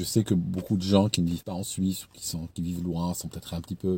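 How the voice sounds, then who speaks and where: The man's voice is fairly low, dark and mellow, and somewhat breathy. He talks at a very fast pace. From Switzerland, canton of Vaud. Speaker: YouTuber, former recruiter. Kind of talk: casual advice talk to camera. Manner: hesitant, many repetitions; animated, acts out scenes.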